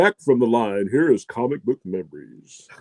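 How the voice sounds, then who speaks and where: A man's put-on character voice at medium pitch with very wide pitch swings, in a dry, close sound with no echo. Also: moderate pace. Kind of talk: broadcast announcer.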